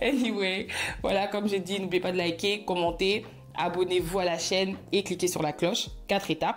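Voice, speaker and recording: The speaker is a woman with a fairly low pitch. Her tone is animated and her pace fairly quick. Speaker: YouTuber storyteller. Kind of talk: casual vlog storytime. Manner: fast.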